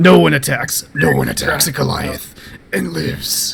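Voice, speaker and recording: Using a put-on character voice, a man talks at a moderate pace. His pitch is very deep and low. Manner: unworldly, ominous.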